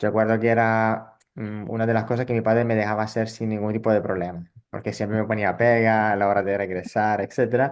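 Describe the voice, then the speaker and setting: Speaking at a fairly quick pace with hardly any pauses, a man keeps a monotone, flat intonation at a fairly low pitch. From northern Italy, rural. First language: Italian (speaking Spanish). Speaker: psychologist and social theatre educator. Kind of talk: interview. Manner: halting, with fillers and repetitions.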